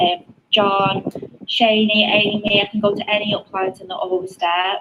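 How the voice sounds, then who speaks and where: A woman speaks with a British accent at a medium pitch and moderate pace. Her intonation is fairly even, with noticeable background noise behind her. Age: 20s. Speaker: network marketer. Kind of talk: testimony.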